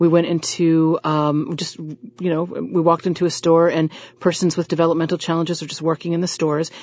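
In a normal speaking voice, a woman with an American accent talks at a fairly quick pace. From US South. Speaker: social worker, former opera singer and voiceover artist. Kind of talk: radio interview.

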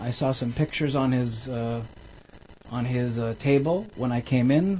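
The speaker keeps a moderate pace with ordinary pitch variation. Noticeable background noise runs underneath. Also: man. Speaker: physician. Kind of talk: storytelling interview. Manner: halting.

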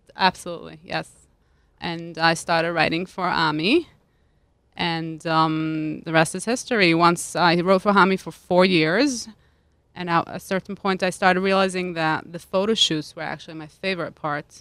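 At a moderate pace, a woman speaks with a fairly low pitch, fairly even intonation and big swings in loudness. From Switzerland, Lugano (Italian-speaking). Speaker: food stylist and cookbook author. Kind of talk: casual chat. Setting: studio.

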